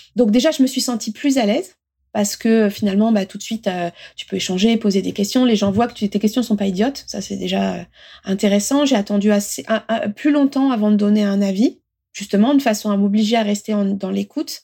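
A woman's fairly high, somewhat breathy voice with a dark, mellow tone, ordinary pitch variation and a fairly quick pace, in a very clean recording with a silent background. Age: 40s. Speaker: manager. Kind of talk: interview. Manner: halting.

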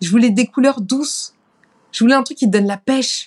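A woman talks at a moderate pace in a somewhat breathy voice with ordinary pitch variation. The sound is dry and close, with no echo. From France, Paris. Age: 30s. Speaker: singer. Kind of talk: interview.

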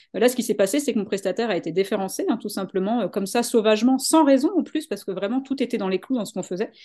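A woman speaks at a very fast pace with hardly any pauses, her fairly high voice dark and mellow in tone, with ordinary pitch variation over a quiet background. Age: 40s. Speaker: business coach. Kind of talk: interview.

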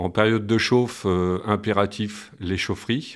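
This man talks fairly slowly. His intonation is fairly even throughout. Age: 50s. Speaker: school maintenance worker. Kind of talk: personal testimony. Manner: hesitant, many fillers and repetitions.

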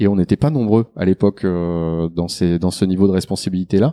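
The voice has a dark, mellow tone and ordinary pitch variation, recorded very cleanly with a silent background and a dry, close sound with no echo. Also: man. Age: 40s. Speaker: product development director. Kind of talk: interview.

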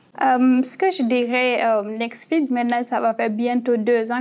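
With an ordinary speaking voice, a woman keeps her intonation fairly even at a fairly high pitch. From Guinea. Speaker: startup cofounder. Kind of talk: panel discussion.

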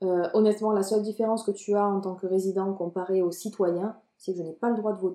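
A woman speaks at a medium pitch and a fairly quick pace. Her intonation stays monotone and flat. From France, Marseille. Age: 20s. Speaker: marketing coordinator. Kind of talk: casual interview chat.

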